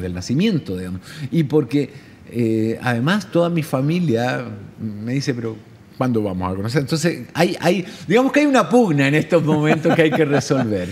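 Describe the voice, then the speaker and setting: Against noticeable background noise, a man speaks at a moderate pace. His fairly high pitch moves in very wide swings. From Chile. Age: 50s. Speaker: journalist, correspondent and radio host. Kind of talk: interview answer.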